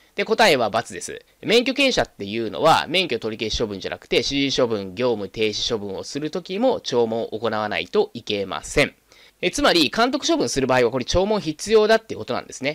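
Against a quiet background with a dry sound and no echo, a man speaks at a fairly quick pace, with big swings in loudness and very wide pitch swings. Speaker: exam prep instructor. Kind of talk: lecture.

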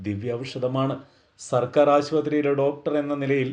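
A man's dark, mellow tone rides a fairly high pitch. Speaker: doctor giving a faith talk. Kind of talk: religious talk. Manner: formal.

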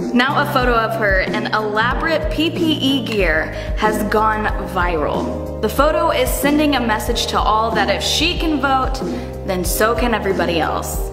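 A woman talks at a moderate pace. Clear music sounds behind her. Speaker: local news host. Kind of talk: upbeat local news segment read. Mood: upbeat, positive. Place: office.

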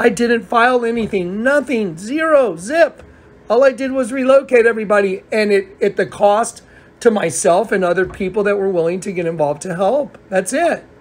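At a moderate pace, a man talks with lively intonation and a high pitch. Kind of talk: casual phone conversation, storytelling.

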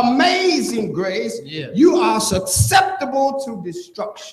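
At a very slow pace, a man speaks with an extremely high pitch amid audible room echo. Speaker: church pastor. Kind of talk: sermon preaching to congregation. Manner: fervent, call-and-response preaching. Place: church. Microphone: camera far.

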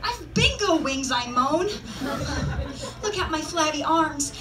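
A raised, projected voice moves through very wide pitch swings at a fairly slow pace. Light background noise is audible. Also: woman. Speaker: poet. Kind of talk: spoken word poetry reading. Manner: light-hearted, humorous. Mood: light-hearted, humorous. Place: stage.

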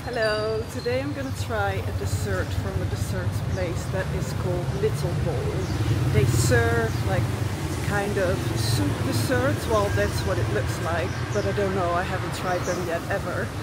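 Loud background noise surrounds a woman speaking at a fairly slow pace, though the sound itself is dry with no echo. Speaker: food vlogger. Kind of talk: casual vlog chat. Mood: upbeat, enthusiastic. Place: street. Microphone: phone near.

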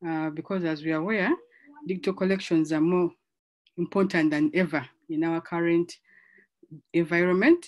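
In a quiet background, a woman speaks at a fairly low pitch. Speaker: conference track facilitator. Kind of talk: session introduction. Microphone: video call.

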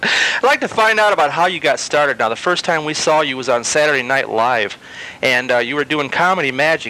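A man talking at a very fast pace, the sound dry with no echo. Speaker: magazine interviewer. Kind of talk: interview questions.

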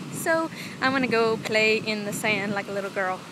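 Over noticeable background noise, a woman with a fairly high pitch speaks at a moderate pace in a dry sound with no echo. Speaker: vlogger. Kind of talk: casual vlog talk to camera. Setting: outdoors, beach with wind and waves. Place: beach. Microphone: phone near.

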